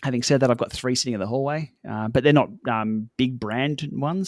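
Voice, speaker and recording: A man with an Australian accent at a medium pitch, fairly quick pace and ordinary pitch variation, in a very clean, dry, close recording with no echo and a silent background. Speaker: cycling tech YouTuber. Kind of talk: podcast interview. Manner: fast; casual, many fillers.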